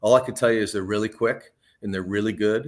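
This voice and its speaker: In a very clean recording with a silent background, a man with a fairly low pitch talks at a very fast pace. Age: 60s. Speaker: professional golfer. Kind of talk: interview. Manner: casual, conversational.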